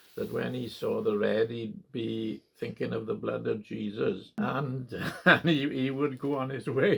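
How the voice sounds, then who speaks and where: A man with a Welsh accent speaks at a fairly slow pace. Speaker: part-time farmer. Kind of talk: oral history interview. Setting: at home in farmhouse. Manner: hesitant, many fillers.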